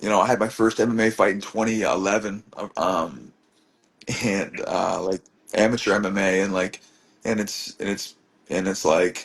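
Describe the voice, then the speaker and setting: This man speaks at a moderate pace with fairly even intonation, a fairly low pitch and long, frequent pauses. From Truro, Nova Scotia, Canada. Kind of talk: interview answer. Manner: casual, rambling.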